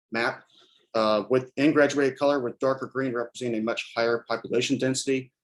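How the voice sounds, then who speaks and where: A man with a medium pitch talks at a very fast pace in a monotone, flat intonation. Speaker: student researcher presenting. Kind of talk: research presentation. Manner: hesitant, many fillers.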